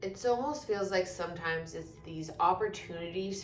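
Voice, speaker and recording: Audible room echo surrounds a woman whose pitch varies in an ordinary way. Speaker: energy healer. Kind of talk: spiritual session intro, casual talk. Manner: slow; casual, with fillers.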